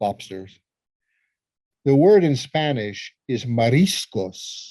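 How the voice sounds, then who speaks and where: A dark, mellow tone at a very slow pace. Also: man. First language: Italian. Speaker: psychologist and lecturer. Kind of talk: casual chat. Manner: repeats words, false starts.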